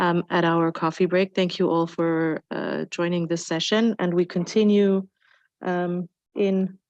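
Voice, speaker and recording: A woman with a German accent speaks slowly-ish at a fairly low pitch, monotone and flat, in a dry, close sound with no echo. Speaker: panel moderator. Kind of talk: panel moderation. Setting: conference room with audience.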